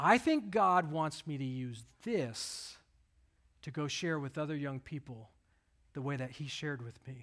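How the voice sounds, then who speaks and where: The speaker has a slight Southern US accent and a fairly slow pace, with ordinary pitch variation. The recording is very clean, with a silent background. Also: man, fairly high pitch for a man. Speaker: pastor. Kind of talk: sermon. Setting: church.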